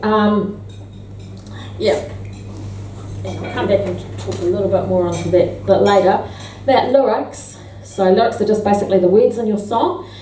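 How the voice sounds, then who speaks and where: Against noticeable background noise and audible room echo, a woman speaks at a moderate pace with long, frequent pauses. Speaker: songwriter giving a workshop. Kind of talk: workshop talk. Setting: club with live audience. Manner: halting, many fillers.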